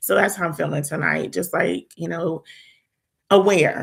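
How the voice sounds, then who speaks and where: A woman talks with vocal fry. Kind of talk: casual chat. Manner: quiet.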